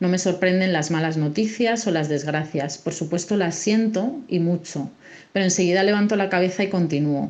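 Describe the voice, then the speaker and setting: Her normal speaking voice sits at medium pitch, with ordinary pitch variation, as this woman talks at a moderate pace. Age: 40s. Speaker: civil servant. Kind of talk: personal testimony.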